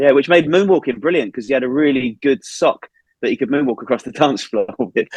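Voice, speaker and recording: At a fairly quick pace, a man with a plain, everyday voice speaks at a fairly high pitch with ordinary pitch variation, the sound dry and close with no echo. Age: 40s. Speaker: marketing head of a visitor attraction. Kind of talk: podcast interview, casual chat.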